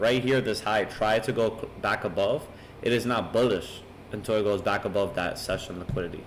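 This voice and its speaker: With a fairly low pitch, a man talks at a fairly quick pace. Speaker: trading educator. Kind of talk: tutorial. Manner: fast.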